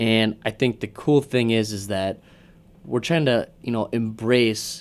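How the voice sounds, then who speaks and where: A man with a plain, everyday voice, medium pitch and a moderate pace. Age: 20s. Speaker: podcast co-host. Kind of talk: casual chat.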